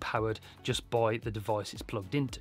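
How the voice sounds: At a moderate pace, a man speaks with a fairly bright tone.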